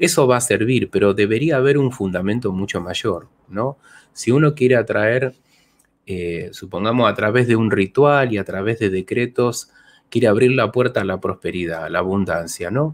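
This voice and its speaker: A man's pitch varies in an ordinary way while he holds a moderate speed. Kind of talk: Q&A talk, explanatory monologue. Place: home room. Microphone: studio mic.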